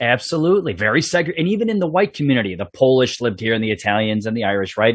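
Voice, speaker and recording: In a Chicago accent, the speaker talks at a very fast pace with very wide pitch swings. The background is quiet. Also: man. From Chicago South Side (Bridgeport). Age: 50s. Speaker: police sergeant, podcast host. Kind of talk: interview podcast. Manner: casual.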